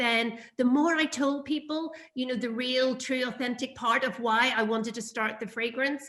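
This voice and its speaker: A woman's raised, projected voice in a Northern Irish accent, high-pitched with a bright, sharp tone and ordinary pitch variation. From Northern Ireland. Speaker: perfume brand founder. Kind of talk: interview. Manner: hesitant, many fillers.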